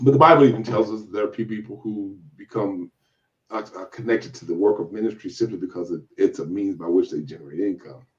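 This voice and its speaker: A fairly low-pitched man with an American accent, talking at a very fast pace. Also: ordinary pitch variation. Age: 60s. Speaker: church elder. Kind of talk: interview. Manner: halting, many repetitions and restarts.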